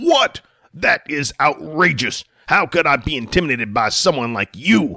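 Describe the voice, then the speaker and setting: Shouting and growling in a put-on character voice, a man uses lively intonation at a fairly high pitch and moderate pace, in a dry, close sound with no echo. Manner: screaming hysterically, indignant.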